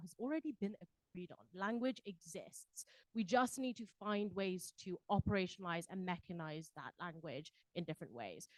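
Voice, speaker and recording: Talking at a fairly quick pace with a British accent, a woman uses lively intonation and big swings in loudness. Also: dry, close sound with no echo. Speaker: panelist at a civil society forum. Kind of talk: panel discussion. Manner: frequent fillers and repetitions.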